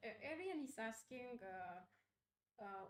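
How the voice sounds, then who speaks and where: The speaker talks at a very slow pace with a Spanish accent. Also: woman. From Uruguay. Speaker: game designer. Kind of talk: live stream Q&A chat.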